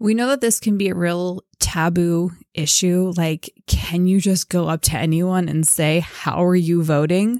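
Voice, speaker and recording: In a dry, close recording with no echo, a woman speaks fairly slowly in a fairly low, dark and mellow voice, keeping her loudness very even and her pitch variation ordinary. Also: hardly any pauses. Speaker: podcast co-host. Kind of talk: casual podcast discussion.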